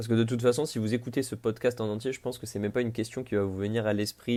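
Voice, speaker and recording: A man talks at a very fast pace. His fairly low voice keeps a fairly even intonation. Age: 20s. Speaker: podcaster. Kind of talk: improvised solo podcast monologue. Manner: casual, with frequent hesitations.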